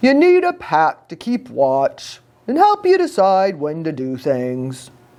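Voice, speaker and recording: A woman uses a put-on character voice at a fairly low pitch. She speaks at a fairly slow pace. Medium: read story. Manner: gruff.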